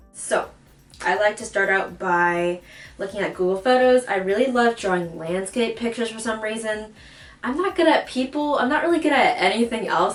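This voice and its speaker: The speech moves at a fairly quick pace with lively intonation over noticeable background noise. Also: woman. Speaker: DIY video creator. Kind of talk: casual tutorial voiceover. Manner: casual, filler words.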